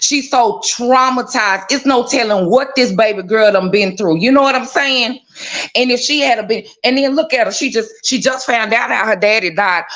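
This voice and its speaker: A woman with an American accent speaks in a high pitch with an animated tone. Her pace is moderate and her pitch varies in an ordinary way, over noticeable background noise. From Texas, Dallas. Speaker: live stream viewer joining on air. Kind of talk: casual chat.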